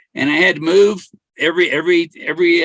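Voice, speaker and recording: Speaking in a Californian accent, a man has a high pitch. His intonation stays fairly even. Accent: General American (Californian). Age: 60s. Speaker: treasure hunter and livestreamer. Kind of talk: casual livestream monologue. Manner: halting, many repetitions and restarts.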